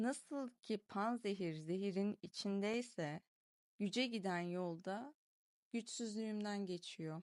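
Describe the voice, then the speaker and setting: A woman with an unremarkable speaking voice talks fairly slowly at a medium pitch with ordinary pitch variation. The sound is dry and close, with no echo. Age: 20s. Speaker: video diary vlogger. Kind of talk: reading aloud a personal diary.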